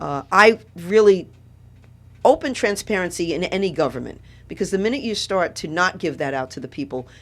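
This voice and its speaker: Lively intonation marks this woman's voice with a New York accent. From New York City (Brooklyn). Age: 70s. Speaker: political candidate. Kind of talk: radio interview.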